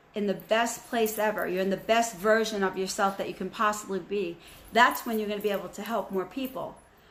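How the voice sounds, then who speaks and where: A woman speaks at a moderate pace in an ordinary speaking voice. Her pitch is medium and her intonation fairly even. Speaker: spiritual channel host. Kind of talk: spiritual message to viewers.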